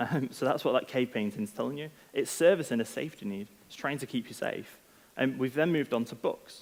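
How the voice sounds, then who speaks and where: A man with a Manchester accent speaks with lively intonation. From northern England, Manchester. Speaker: product head, conference speaker. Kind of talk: conference talk. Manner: casual, many filler ums.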